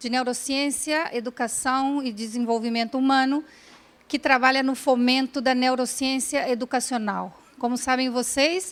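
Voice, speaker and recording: Fairly even intonation in a woman's high voice. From Brazil. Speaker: neuroscience educator, speaker. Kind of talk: lecture. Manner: halting.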